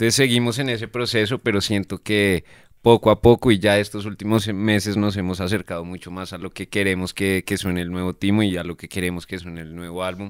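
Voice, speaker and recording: A man's fairly low voice at a fairly quick pace, fairly even intonation, hardly any pauses, big swings in loudness, and a dry sound with no echo against a quiet background. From Colombia, Bogotá. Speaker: pop band musician; guest. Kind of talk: casual interview chat. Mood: relaxed, reflective. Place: studio. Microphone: studio mic.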